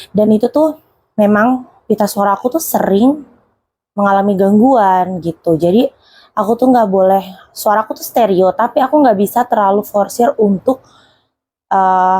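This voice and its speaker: A woman speaks at a medium pitch and a moderate pace. Her tone is dark and mellow, and her intonation is lively. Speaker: YouTube horror storyteller. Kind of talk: casual storytelling. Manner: chatty, conversational.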